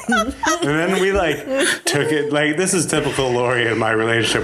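A man speaks at a fairly quick pace. Noticeable background noise runs beneath him. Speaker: comedian, podcast guest.

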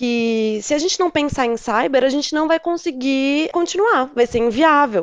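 Lively intonation marks this woman's speech at a moderate pace. Behind her, the background is quiet. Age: 30s. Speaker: cybersecurity analyst. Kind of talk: casual chat.

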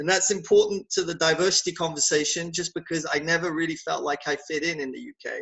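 A man's high-pitched voice at a very fast pace with hardly any pauses. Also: fairly even intonation. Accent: southern England. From southern England. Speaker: conference company founder. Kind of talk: casual interview.

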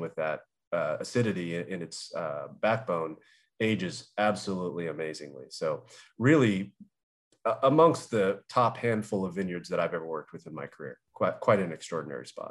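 In a plain, everyday voice with an American accent, a man speaks at a fairly quick pace with a fairly low pitch and lively intonation, in a very clean recording with a silent background. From Southern California. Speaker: winemaker. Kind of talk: interview.

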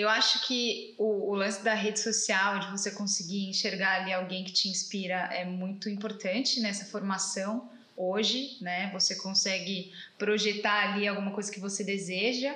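A woman at medium pitch and moderate pace, fairly even intonation, with audible room echo and noticeable background noise. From Brazil. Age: 30s. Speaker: automotive journalist. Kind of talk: casual interview chat. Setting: father's car workshop.

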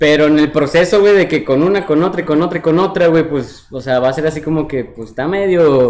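A fairly high male voice moving at a fairly quick pace with hardly any pauses and ordinary pitch variation. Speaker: podcast host. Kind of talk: casual chat. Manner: animated.

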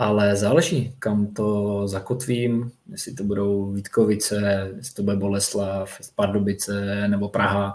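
In an unremarkable speaking voice, a man with a fairly low pitch speaks at a fairly slow pace with hardly any pauses, fairly even intonation and big swings in loudness. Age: 30s. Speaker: floorball player. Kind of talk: casual chat.

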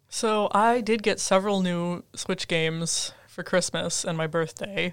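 This woman has a medium pitch and an Upper Midwest US accent, speaking at a very slow pace. The recording is very clean, with a silent background. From Minnesota (Twin Cities area). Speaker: podcast co-host, graduate student. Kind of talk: casual chat.

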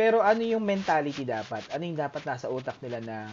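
Speaking at a fairly quick pace, a man swings his pitch very widely. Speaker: podcast host. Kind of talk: casual interview.

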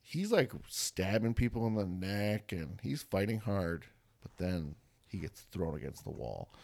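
Lively intonation from a man with a plain, everyday voice, fairly low pitch and a fairly slow pace. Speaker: podcast host. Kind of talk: casual chat. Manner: joking, laughs often.

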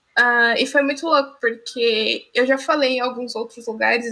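A woman speaks in a high, bright and sharp voice with fairly even intonation. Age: young. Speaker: student and streamer, podcast co-host. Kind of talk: casual chat.

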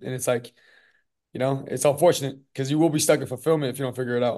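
This voice has an American accent. It moves at a very fast pace. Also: man, quiet background. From Southern California. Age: 20s. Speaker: gym owner and business coach. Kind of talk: casual interview.

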